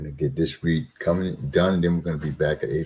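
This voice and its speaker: Very deep and low-pitched, this man's voice has a dark, mellow tone with vocal fry and moves at a moderate pace. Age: 60s. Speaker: scripture reading host. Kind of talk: casual chat; reading aloud.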